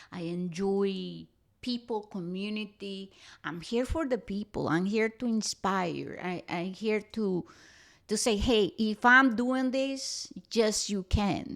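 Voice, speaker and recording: In a very clean recording with a silent background, a woman with a strong Costa Rican accent speaks at a very slow pace. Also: medium pitch for a woman, ordinary pitch variation. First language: Spanish. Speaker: spiritual podcast host. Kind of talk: podcast monologue.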